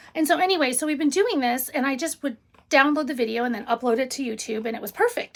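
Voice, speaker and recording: Loud and animated, a woman with a high pitch talks at a very fast pace with ordinary pitch variation. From Illinois. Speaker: paper crafting channel host. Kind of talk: casual live stream chat.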